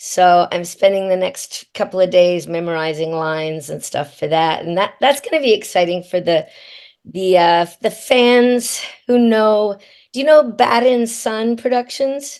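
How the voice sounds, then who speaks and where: With a normal speaking voice, a woman talks at a fairly slow pace and medium pitch, her intonation lively against a quiet background. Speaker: voice actor. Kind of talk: interview answer.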